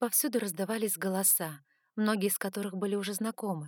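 The reading voice is unforced. Its intonation is fairly even.

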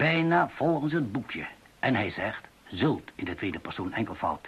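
A man puts on a character voice with a husky, rough edge and a fairly low pitch. He talks at a fairly slow pace, his pitch swinging widely.

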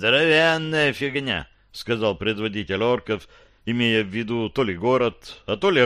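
Someone does plain reading aloud.

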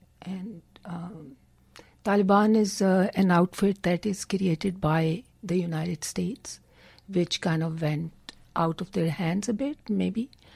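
In a Punjabi accent, the speaker talks at a fairly slow pace, somewhat breathy, with ordinary pitch variation, in a very clean recording with a silent background and a dry, close sound with no echo. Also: woman, medium pitch for a woman. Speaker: poet. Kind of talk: radio interview. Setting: studio. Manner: halting.

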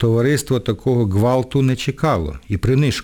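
The pitch varies in an ordinary way as the speaker reads aloud naturally.

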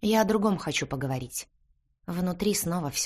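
Against a quiet background, the speaker uses an unforced reading voice with lively intonation.

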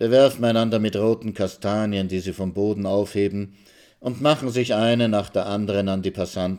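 Fairly even intonation from an unforced reading voice.

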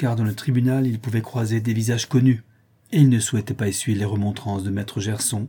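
Simple, plain reading aloud

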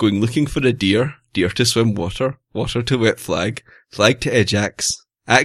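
Someone reads aloud in a natural voice. Nothing much sounds behind it.

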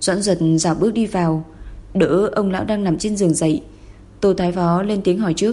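This is an unforced reading voice. The speaker reads along in it.

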